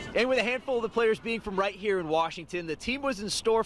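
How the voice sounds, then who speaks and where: A high-pitched man with lively intonation, over noticeable background noise. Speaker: sportscaster. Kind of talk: TV sports news reporting.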